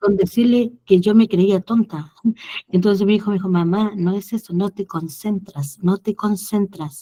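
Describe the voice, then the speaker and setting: Somewhat breathy and dark, mellow in tone, the voice moves at a fairly slow pace in a dry, close sound with no echo. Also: woman, medium pitch for a woman, fairly even intonation. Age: 60s. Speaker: adult student. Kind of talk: casual chat.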